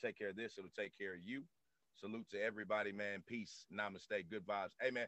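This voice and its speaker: Very fast and with fairly even intonation, a man speaks at a fairly low pitch, the sound dry and close with no echo. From US South. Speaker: podcast host. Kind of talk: casual interview chat. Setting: studio. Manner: halting.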